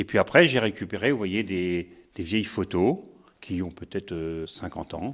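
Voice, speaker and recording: A man's fairly low-pitched, fairly slow delivery with ordinary pitch variation, a plain, everyday voice. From France, Sarthe. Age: 60s. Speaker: retired sheep farmer. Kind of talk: interview. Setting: on a farm.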